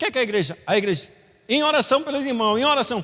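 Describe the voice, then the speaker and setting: The speaker's tone is bright and sharp, with lively intonation. The pace is fairly quick. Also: man. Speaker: Sunday school teacher. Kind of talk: Bible class teaching. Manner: fast.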